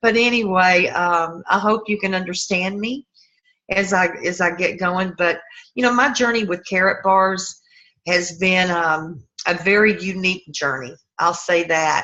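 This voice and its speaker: A woman with a Southern US accent speaks at a fairly slow pace in a medium pitch, her tone bright and sharp and her pitch varying in an ordinary way. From US South. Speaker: network marketing sponsor. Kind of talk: talk on a group video call. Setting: online group call. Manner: casual, folksy.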